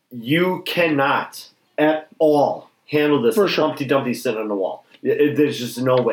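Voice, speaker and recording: A man's normal speaking voice at a fairly high pitch, with ordinary pitch variation and a moderate pace. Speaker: podcast host. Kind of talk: casual chat. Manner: excitable.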